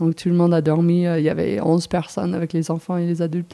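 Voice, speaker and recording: In an English accent, a woman speaks with a dark, mellow tone at a fairly low pitch. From US Northeast, New Jersey. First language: English (speaking French). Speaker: mountain guide. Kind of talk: interview. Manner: halting.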